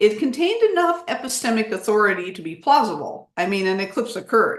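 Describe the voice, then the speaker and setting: This woman's voice sits fairly high in pitch, with very wide pitch swings. She talks at a fairly quick pace. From United States. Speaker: history professor, lecturer. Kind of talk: lecture. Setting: Zoom video call.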